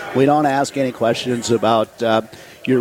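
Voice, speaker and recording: Speech at a moderate pace with noticeable background noise behind it. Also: man. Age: 70s. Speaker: charity volunteer leader. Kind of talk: radio interview. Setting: in person at a coffee shop, live radio broadcast.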